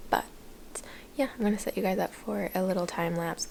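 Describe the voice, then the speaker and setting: Soft-spoken and fairly low in pitch, a woman is heard. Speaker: vlogger. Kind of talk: casual vlog talk. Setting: at home.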